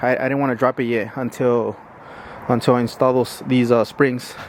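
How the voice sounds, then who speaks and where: A man speaks against noticeable background noise. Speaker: car enthusiast vlogger. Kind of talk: casual garage vlog. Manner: fast.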